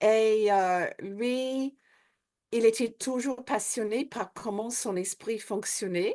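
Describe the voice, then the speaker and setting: Speaking very slowly against a quiet background, a woman with an Australian accent uses a fairly high pitch. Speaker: hypnotherapist and trainer. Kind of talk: interview. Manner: hesitant, many fillers.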